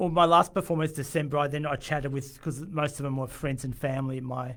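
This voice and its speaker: Speech comes at a very fast pace with fairly even intonation. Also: man, fairly high pitch for a man. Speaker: musician. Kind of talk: radio interview. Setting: radio studio. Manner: halting, frequent stammered restarts; quiet.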